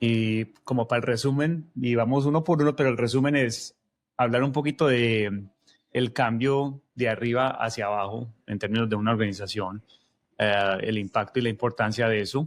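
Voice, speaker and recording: At a moderate pace, a man speaks with very even loudness and ordinary pitch variation. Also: medium pitch for a man. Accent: paisa. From Colombia, Medellín. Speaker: podcast co-host, technology leader. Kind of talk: casual podcast conversation.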